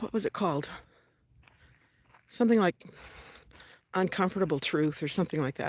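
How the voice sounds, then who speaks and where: A woman of medium pitch talks at a fairly quick pace with ordinary pitch variation and long, frequent pauses, in a very clean recording with a silent background and a dry, close sound with no echo. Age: 60s. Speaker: vlogger. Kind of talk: casual vlog monologue while walking. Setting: outdoors, walking in the desert. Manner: conversational, walking pace.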